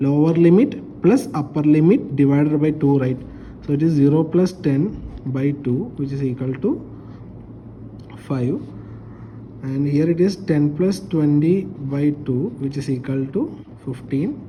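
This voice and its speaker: The speaker goes at a fairly slow pace. Long pauses come often. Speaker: statistics teacher. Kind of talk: lecture.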